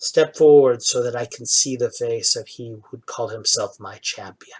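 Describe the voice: Using a put-on character voice, a man speaks at a moderate pace in a raspy tone.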